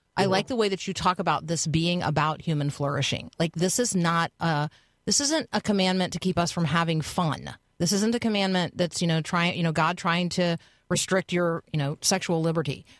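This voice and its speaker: An unremarkable speaking voice with very even loudness and ordinary pitch variation, in a dry, close sound with no echo. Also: woman, fairly low pitch for a woman. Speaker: radio host. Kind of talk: live radio talk show. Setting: radio studio.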